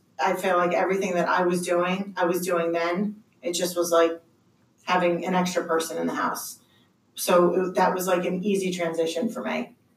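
The woman's voice sits at a medium pitch, with monotone, flat intonation. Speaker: school director and single mother. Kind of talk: casual panel discussion.

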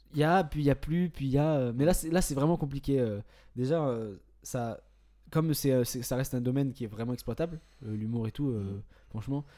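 Over a very clean, silent background, a man with a dark, mellow tone and fairly high pitch speaks at a moderate pace with long, frequent pauses. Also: ordinary pitch variation. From southern France, Istres. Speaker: stand-up comedian. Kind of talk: casual chat.

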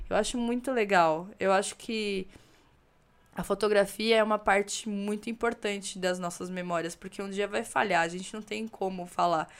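This woman has an ordinary speaking voice at a medium pitch. She talks at a moderate pace with fairly even intonation. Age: 30s. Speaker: photographer. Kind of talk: casual chat.

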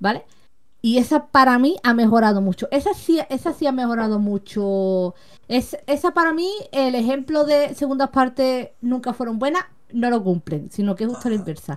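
Her pitch is high and her intonation lively. The woman keeps a moderate pace. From Seville, Andalusia. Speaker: content creator. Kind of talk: casual chat. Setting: live video stream.

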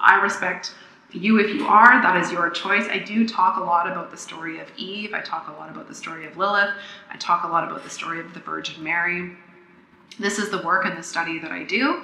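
A woman at a fairly quick pace and medium pitch, with big swings in loudness and noticeable background noise. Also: ordinary pitch variation. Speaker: podcast host and pleasure coach. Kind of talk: solo podcast monologue, teaching. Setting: makeshift home recording, tinny sound. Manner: fast talker; animated, enthusiastic.

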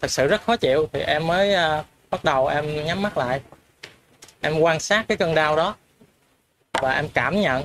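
Long pauses come often, interrupting talk delivered at a moderate pace. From Mekong Delta, southern Vietnam (An Giang). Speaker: participant in spiritual discussion group. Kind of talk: personal testimony. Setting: in-person group gathering, livestreamed.

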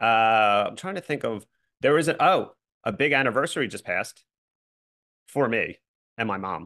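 Against a quiet background, a man with an American accent speaks at a moderate pace in a bright, sharp, medium-pitched tone with lively intonation and long, frequent pauses. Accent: Philly, fading. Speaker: podcast host. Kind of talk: casual banter.

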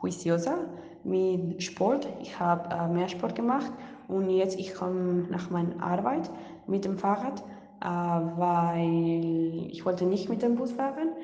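Someone with a Spanish accent speaks at a very slow pace, with audible room echo and noticeable background noise. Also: woman. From Colombia. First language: Spanish (speaking German). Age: young. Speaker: international volunteer. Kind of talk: online interview. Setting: video call. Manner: halting.

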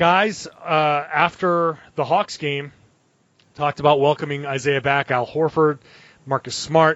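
Fairly slow and fairly even in intonation, a man speaks in a plain, everyday voice that sits fairly high in pitch. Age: 40s. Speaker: sports beat writer and podcast host. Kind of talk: casual chat.

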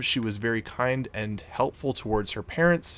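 With a Canadian accent, a man talks at a moderate pace in an ordinary speaking voice with lively intonation. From Canada. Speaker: podcast host. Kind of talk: storytelling narration.

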